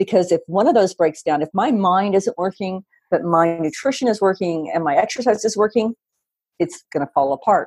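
The sound is dry and close, with no echo. A woman speaks at a medium pitch in an ordinary speaking voice, her intonation lively. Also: fairly quick pace. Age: 50s. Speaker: dog fitness franchise founder. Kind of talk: interview.

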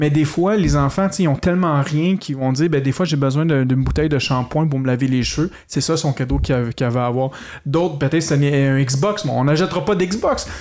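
An unremarkable speaking voice belonging to a man comes through at a fairly high pitch and fairly quick pace, with ordinary pitch variation and very even loudness, in a very clean recording with a silent background. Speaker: podcast host. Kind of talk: casual chat. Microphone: some echo from the room.

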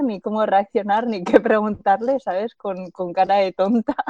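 The woman's voice has ordinary pitch variation and a dry, close sound with no echo. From Spain, Zaragoza. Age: 30s. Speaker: long-distance bicycle traveller. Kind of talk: interview. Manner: halting, frequent word repetitions.

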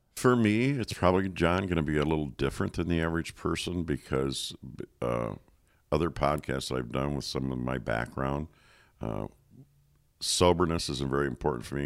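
A man's very deep, low voice at a moderate pace, ordinary pitch variation, and a very clean recording with a silent background. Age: 60s. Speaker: coaching organization founder. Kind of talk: casual chat.

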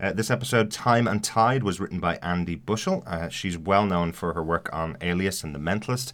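In a very clean recording with a silent background, a man with a normal speaking voice talks at a fairly quick pace, his fairly low pitch carrying lively intonation. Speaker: podcast host. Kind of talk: casual podcast discussion.

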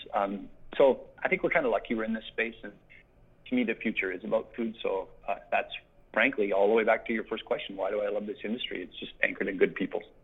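A man talks at a very fast pace. He has a Canadian Prairies accent. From Saskatchewan, Canada. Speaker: agricultural industry relations director. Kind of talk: interview. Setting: phone call. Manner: animated.

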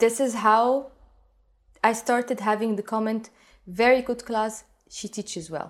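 A woman with a fairly high pitch speaks at a moderate pace, her intonation fairly even. She takes long, frequent pauses, and the recording is very clean with a silent background. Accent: Arabic. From Egypt. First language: Arabic. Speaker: belly dance teacher. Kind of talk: interview.

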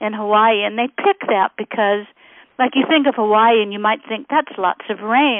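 A woman with a fairly high pitch. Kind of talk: infomercial-style product pitch. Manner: enthusiastic, salesy, gushing; spelling out web address, promotional.

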